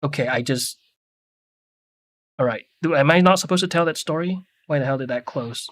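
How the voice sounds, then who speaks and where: In a very clean recording with a silent background and a dry, close sound with no echo, a man with a Mandarin accent speaks at a moderate pace with ordinary pitch variation. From Singapore. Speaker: 3D artist streamer. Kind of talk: casual chat. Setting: live stream.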